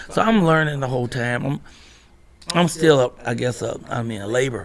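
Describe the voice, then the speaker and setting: Over noticeable background noise, a man with a medium-pitched voice and lively intonation speaks at a moderate pace. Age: 60s. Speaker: comedian and actor. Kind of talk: casual interview chat. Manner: animated.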